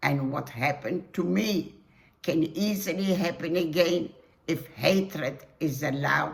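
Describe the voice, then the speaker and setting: A woman's fairly low voice with vocal fry, ordinary pitch variation and a very slow pace. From Poland, Warsaw. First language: Polish. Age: 80s+. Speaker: Holocaust survivor. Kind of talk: testimony.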